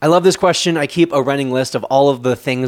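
With ordinary pitch variation and a fairly high pitch, a man talks in a normal speaking voice. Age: 20s. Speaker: podcast host, social media coach. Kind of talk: Q&A solo podcast.

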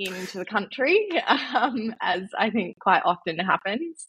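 At a fairly slow pace, a woman with an Australian accent speaks in a bright, sharp tone. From Western Australia, central wheatbelt. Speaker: mental health charity founder. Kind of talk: casual interview.

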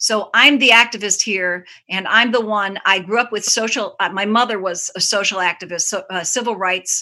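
With an American accent, this speaker keeps a moderate pace, fairly even intonation and a bright, sharp tone, with hardly any pauses. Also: woman, medium pitch for a woman. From Chicago, Hyde Park. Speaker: children's musician. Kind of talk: casual chat. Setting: video call.

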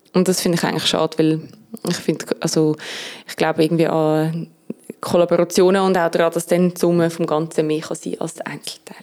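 A woman's fairly low voice at a fairly quick pace, monotone and flat. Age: 20s. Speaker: music critic. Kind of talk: casual chat.

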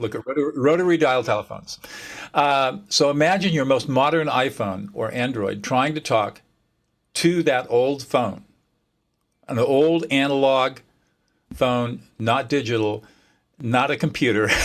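A man speaks with a Californian accent. His pace is fairly slow, with long, frequent pauses. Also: medium pitch for a man, ordinary pitch variation. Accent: Californian American. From US California. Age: 70s. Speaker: mediator and author. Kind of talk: casual interview chat. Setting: video call.

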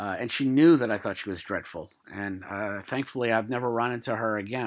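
A man at a medium pitch speaks in a New York accent on a very clean recording with a silent background. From New York City (Brooklyn). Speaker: retirement plan administrator and podcast host. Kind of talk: solo podcast monologue. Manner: casual, rambling with many fillers.

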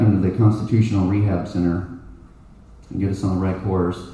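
With an American accent, a man speaks amid noticeable background noise and audible room echo. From Texas, Plano. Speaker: congressional candidate. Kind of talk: campaign speech.

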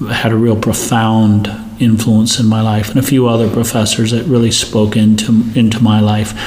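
With noticeable background noise and audible room echo, a man speaks at a moderate pace in a medium pitch with monotone, flat intonation. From India. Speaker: pastor. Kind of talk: interview.

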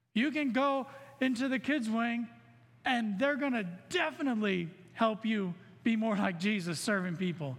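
A man with a high pitch and lively intonation, very even loudness, a moderate pace with long, frequent pauses, and audible room echo. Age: 40s. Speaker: lay preacher, banker. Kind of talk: sermon.

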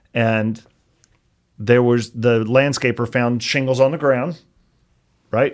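Speaking very slowly with an American accent, a man leaves long, frequent pauses and keeps his intonation fairly even. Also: medium pitch for a man. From US South, Chattanooga, Tennessee. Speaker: roofing business owner. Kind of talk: interview.

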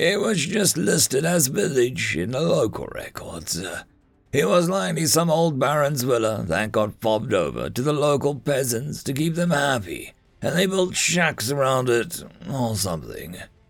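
A man's gruff, put-on character voice at medium pitch, with very wide pitch swings, at a moderate pace, over music in the background. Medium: read story. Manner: curt, commanding.

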